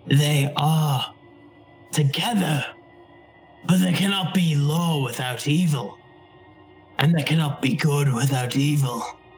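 A loud, put-on character voice sits at a low-to-middle pitch, moving at a fairly slow pace. Long, frequent pauses break it up, with music in the background. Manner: loud, lecturing, sinister.

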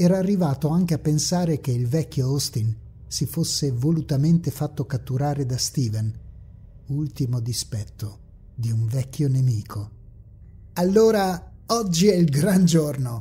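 The delivery is dramatic and menacing, fairly slow, with long and frequent pauses. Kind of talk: scripted horror audiobook narration, read aloud in third person.

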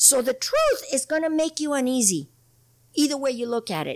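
Speaking at a moderate pace, a woman has a high voice and an American accent. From Imperial Valley, California. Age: 60s. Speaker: political candidate, water district. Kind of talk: casual interview conversation.

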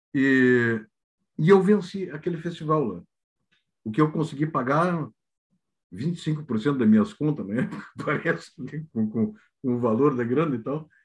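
A man's somewhat breathy voice, fairly high in pitch, with lively intonation, a fairly slow pace, and long, frequent pauses. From Rio Grande do Sul (Santana do Livramento), southern Brazil. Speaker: comedian. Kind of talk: casual chat.

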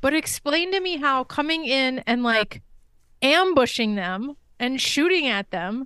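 A woman speaks in a raised, projected voice with a bright, sharp tone and high pitch, her delivery animated with lively intonation at a fairly slow pace against a quiet background. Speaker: podcast co-host. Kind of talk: casual chat.

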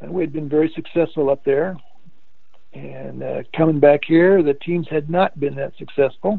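A man with a Midwestern American accent speaks at a fairly high pitch. His pace is moderate and his intonation fairly even. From Indiana, US Midwest. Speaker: retired basketball coach and teacher. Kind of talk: casual interview, storytelling.

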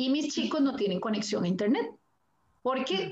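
A woman with a Costa Rican accent, high-pitched, very fast and lively in intonation. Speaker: primary school teacher. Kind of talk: live-stream panel conversation.

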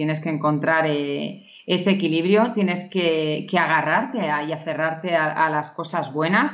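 With a Castilian accent, a woman of very deep, low pitch speaks at a fairly slow pace, with ordinary pitch variation and hardly any pauses. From Navarra, Spain. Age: 30s. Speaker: pediatric nurse. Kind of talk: interview. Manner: hesitant with repetitions.

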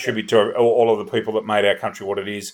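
A man with an Australian accent talks very fast. The recording is very clean, with a silent background. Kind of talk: sports podcast chat with score readouts.

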